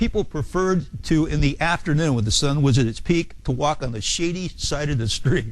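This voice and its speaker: Lively intonation marks this man's fairly high voice. He talks at a fairly quick pace with audible room echo. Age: 60s. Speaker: real estate exam instructor. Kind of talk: lecture. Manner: halting.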